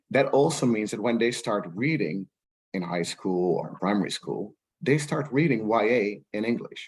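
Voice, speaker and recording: A man speaks with a Dutch accent at a moderate pace. His pitch is medium and his intonation lively. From Netherlands. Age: 40s. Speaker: rights professional. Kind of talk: panel discussion. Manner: halting, many repetitions.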